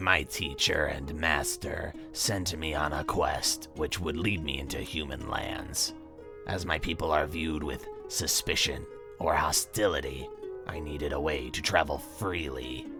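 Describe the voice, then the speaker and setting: A man puts on a character voice at a moderate pace. Clear music plays in the background. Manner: curt, formal.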